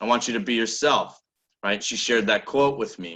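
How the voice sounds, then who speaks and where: The voice is loud, bright and sharp, with an American accent. Its tone is animated and its pace fairly quick. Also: man. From Nebraska. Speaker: business coach. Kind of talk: motivational talk. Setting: video call.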